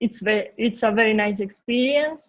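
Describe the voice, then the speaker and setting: A woman with a Uruguayan accent speaks at a fairly slow pace in a fairly high, somewhat breathy voice with fairly even intonation. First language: Spanish. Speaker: visual designer. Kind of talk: interview. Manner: halting.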